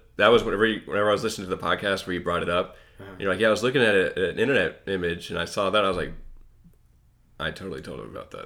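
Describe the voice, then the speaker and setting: With a Kentucky accent, a man speaks very fast in a bright, sharp tone, with ordinary pitch variation and big swings in loudness. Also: fairly low pitch for a man. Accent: Kentucky Southern US. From Western Kentucky, US. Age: 20s. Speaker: podcast co-host. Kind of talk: casual chat.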